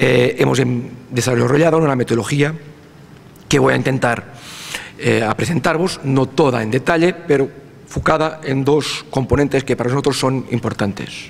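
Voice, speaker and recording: Noticeable background noise accompanies a man speaking at a medium pitch. He keeps a moderate pace with ordinary pitch variation. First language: Portuguese (speaking Spanish). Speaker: university researcher in territorial planning. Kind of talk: conference lecture. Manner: halting, with fillers and restarts.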